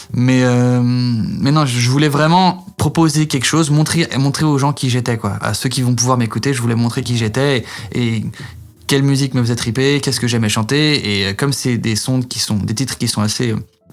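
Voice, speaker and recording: Medium pitch from a man at a moderate pace, with ordinary pitch variation. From France. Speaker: singer. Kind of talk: interview. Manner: halting, many fillers.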